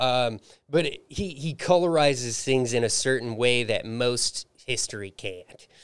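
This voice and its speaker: A man talks in a normal speaking voice with ordinary pitch variation. His pace is fairly slow. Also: medium pitch for a man. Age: 30s. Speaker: musician and comedian. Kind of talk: casual chat. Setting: studio.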